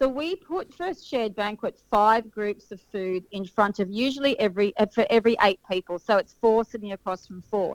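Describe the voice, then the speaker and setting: A woman with an Australian accent, ordinary pitch variation and big swings in loudness, in a dry, close sound with no echo. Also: fairly high pitch for a woman, moderate pace. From Sydney, Australia. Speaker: wedding caterer. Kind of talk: casual interview.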